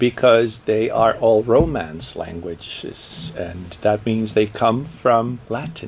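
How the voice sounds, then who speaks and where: Speaking very slowly in a Portuguese accent, a man with a medium-pitched voice is heard over noticeable background noise. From Brazil. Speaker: professor. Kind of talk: interview.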